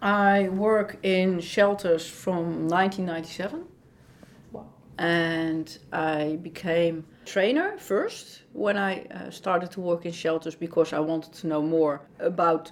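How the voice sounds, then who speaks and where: Speech comes very slowly with fairly even intonation and a Dutch accent. Background noise is noticeable. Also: woman. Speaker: dog behaviorist and trainer at an animal shelter. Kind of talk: interview.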